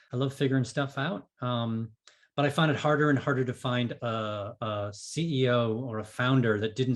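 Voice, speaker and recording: A man with a medium-pitched, somewhat breathy voice speaks with ordinary pitch variation. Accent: American. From New England (Boston area). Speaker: business coach and author. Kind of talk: podcast interview. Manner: fast.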